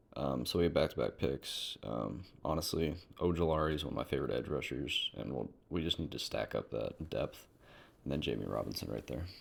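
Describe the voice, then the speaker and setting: A man speaks with a very deep, low pitch and vocal fry. His pace is fairly quick. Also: ordinary pitch variation. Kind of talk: casual sports commentary to camera.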